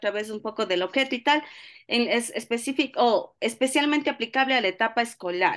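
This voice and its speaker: A high-pitched woman with an Ecuadorian accent, a bright, sharp tone and a moderate pace against a quiet background. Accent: Ecuadorian Spanish, noticeably Latin American. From Ecuador, Cuenca. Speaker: course participant. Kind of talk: question in online seminar.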